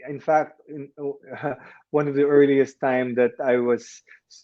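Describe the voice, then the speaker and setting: In a Filipino accent, a man speaks at a medium pitch and a fairly slow pace. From Philippines. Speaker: actor. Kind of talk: interview. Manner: halting, with repetitions. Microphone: connection breaking up.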